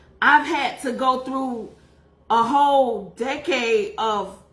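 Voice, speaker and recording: The woman's high voice carries with an audible echo from the room. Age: 40s. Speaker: faith and beauty livestreamer, life coach. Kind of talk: testimony. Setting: livestream. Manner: casual, conversational.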